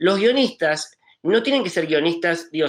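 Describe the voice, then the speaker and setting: With an Argentine accent, a man talks in a high pitch with lively intonation. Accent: Argentine accent on a Spanish speaker. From Spain. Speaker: film art director. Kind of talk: panel discussion. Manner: hesitant, many fillers.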